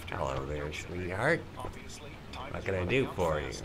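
Putting on a character voice, a man speaks slowly-ish at a fairly slow pace in a very deep, low register amid loud background noise. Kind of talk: flirtatious, smarmy. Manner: creepy.

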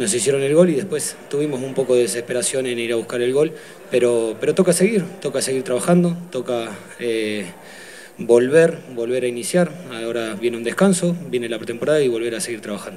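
There is light background noise as a man speaks at a fairly quick pace. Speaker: football team coach. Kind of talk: press conference answers. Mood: subdued, disappointed after defeat. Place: hall. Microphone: podium.

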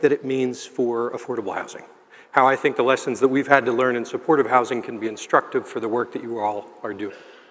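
A man talks at a fairly quick pace with a medium pitch. He has an ordinary speaking voice. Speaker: keynote speaker, housing and health nonprofit leader. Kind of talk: keynote speech. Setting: stage with audience. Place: hall. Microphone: headset.

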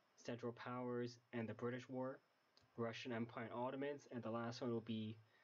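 A quiet man with a medium pitch speaks at a moderate pace in a monotone, flat intonation, his loudness very even. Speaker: game modder. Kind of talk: casual game mod preview narration. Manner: quiet, low volume.

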